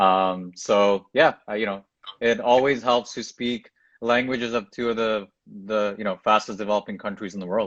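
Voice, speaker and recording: A man with a Canadian accent has an ordinary speaking voice, pitched fairly low. He talks at a moderate pace with fairly even intonation against a quiet background. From Toronto, Canada. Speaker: tech entrepreneur. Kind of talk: interview. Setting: Instagram live video.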